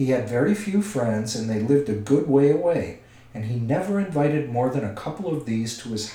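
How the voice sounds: Lively intonation colors a natural reading voice.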